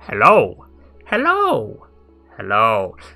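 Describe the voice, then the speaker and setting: Someone performs a put-on character voice while faint music plays in the background. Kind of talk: formal, upper-class greeting.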